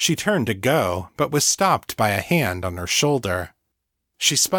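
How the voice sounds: The voice reads naturally, with a quiet background behind it.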